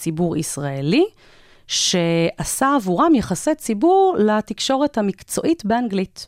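Very wide pitch swings and very even loudness mark this fairly slow delivery, heard dry and close with no echo on a very clean recording with a silent background. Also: woman. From Israel, childhood partly in South Africa. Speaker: corporate communications manager. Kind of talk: interview.

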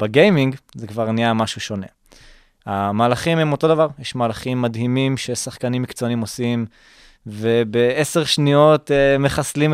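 Here a man has an unremarkable speaking voice, medium in pitch, moving at a moderate pace with fairly even intonation. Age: 20s. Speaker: startup founder and student. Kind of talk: interview.

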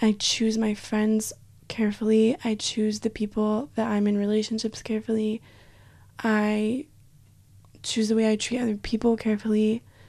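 A woman with a Western US accent speaks at a moderate pace in a fairly high pitch, her tone dark and mellow and her intonation monotone and flat. Her loudness stays very even, with long, frequent pauses in a very clean recording over a silent background. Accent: American (Western US). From Utah. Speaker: university student. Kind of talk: casual interview.

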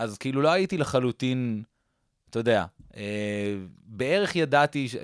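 The speech moves at a fairly quick pace with ordinary pitch variation. The recording is very clean, dry and close, with no echo and a silent background. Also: man. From Israel, partly raised in Boston suburbs. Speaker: comedian. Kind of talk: casual interview.

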